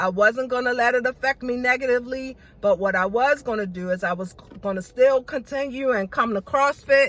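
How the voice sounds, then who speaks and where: The voice is loud, moving at a fairly quick pace with ordinary pitch variation. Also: woman. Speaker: beauty vlogger. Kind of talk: casual vlog monologue. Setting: in a car.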